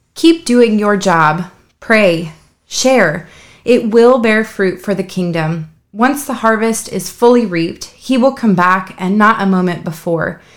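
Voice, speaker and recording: Lively in intonation, a woman with a plain, everyday voice talks at a fairly slow pace in a very clean recording with a silent background. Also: medium pitch for a woman. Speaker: prayer leader. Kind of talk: fervent prayer. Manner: pleading, heartfelt.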